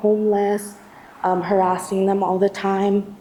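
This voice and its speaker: Against noticeable background noise, a woman speaks with a shaky voice at medium pitch. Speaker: activist testifying at a community tribunal. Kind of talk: testimony. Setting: church hall event with audience. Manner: shaky, halting with many fillers.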